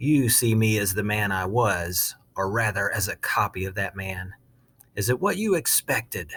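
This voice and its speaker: On a very clean recording with a silent background, a man does a put-on character voice at a fairly low pitch and a moderate pace. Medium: read story. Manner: menacing.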